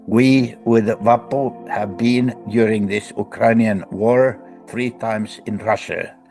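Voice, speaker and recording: A man with a Finnish accent speaks at a very slow pace, with medium pitch and ordinary pitch variation. Music plays in the background. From Finland. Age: 80s+. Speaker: professor and book editor. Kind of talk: interview answer.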